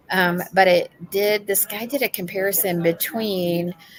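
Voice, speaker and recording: Against noticeable background noise, a woman talks at a medium pitch with ordinary pitch variation. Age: 60s. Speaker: AI podcast co-host. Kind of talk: casual podcast chat. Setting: on location at an expo, remote stream. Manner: frequent um fillers.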